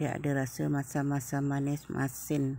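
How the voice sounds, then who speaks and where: Very deep and low in pitch, a woman speaks at a very slow pace. The sound is dry with no echo. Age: old. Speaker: cooking vlogger. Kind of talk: cooking tutorial. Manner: casual. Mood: relaxed, friendly. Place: kitchen. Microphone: phone near.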